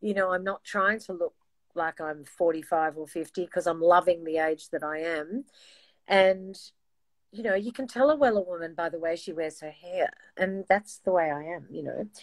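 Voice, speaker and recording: A woman with an Australian accent speaks at a fairly low pitch and moderate pace, with ordinary pitch variation and big swings in loudness. The sound is dry and close with no echo, and the recording is very clean with a silent background. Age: 60s. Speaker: singer. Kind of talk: casual chat.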